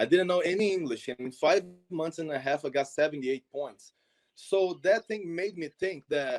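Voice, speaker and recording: On a dry, close recording with no echo, a man with a Portuguese accent speaks at a moderate pace and a fairly high pitch with ordinary pitch variation. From Brazil, Minas Gerais. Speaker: soccer exchange program founder. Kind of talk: interview.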